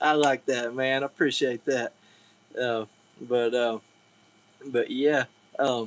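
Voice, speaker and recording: Very slow, monotone and flat delivery in a Southern US accent, long, frequent pauses, dry and close with no echo. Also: man, medium pitch for a man. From Georgia. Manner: casual, folksy, lots of filler words.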